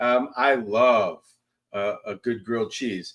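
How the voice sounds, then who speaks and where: A loud male voice. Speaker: chef. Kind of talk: cooking demonstration. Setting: livestream charity broadcast. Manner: casual, relaxed.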